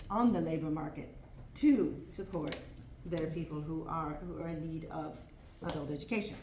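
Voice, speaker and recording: A woman speaks with lively intonation. Her voice carries audible room echo over noticeable background noise. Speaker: former parliament member, integration specialist. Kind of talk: conference presentation. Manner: fast.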